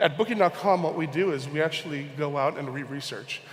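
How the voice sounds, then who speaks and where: The speech comes at a fairly quick pace in a Hawaiian accent. Intonation is fairly even, and room echo is audible. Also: man. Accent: American (Hawaii). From Hawaii, Honolulu. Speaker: conference speaker, e-commerce researcher. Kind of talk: conference talk. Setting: stage with audience.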